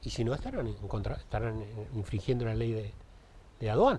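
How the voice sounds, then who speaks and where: A somewhat breathy man speaks at a fairly quick pace. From Uruguay. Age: 60s. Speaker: municipal traffic director; interviewee. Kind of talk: TV interview. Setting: TV studio. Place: studio. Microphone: lapel.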